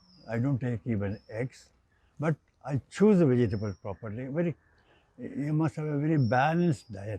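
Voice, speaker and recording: A man with an Indian accent speaks at medium pitch in a dark, mellow, somewhat breathy tone. His intonation is lively, and he keeps a moderate pace with long, frequent pauses. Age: 80s+. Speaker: engineer. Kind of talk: interview answer.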